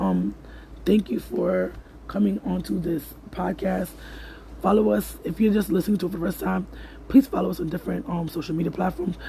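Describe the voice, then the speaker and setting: There is noticeable background noise as a man speaks at a fairly quick pace. He leaves long, frequent pauses. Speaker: podcast host. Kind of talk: casual podcast monologue listing resources. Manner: fast.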